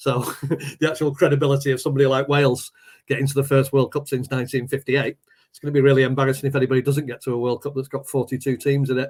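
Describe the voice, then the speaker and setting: A man speaks at a very fast pace with a fairly high pitch. His voice is somewhat breathy and his intonation is flat and monotone. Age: 60s. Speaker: poet and teacher, football fan. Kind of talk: casual chat.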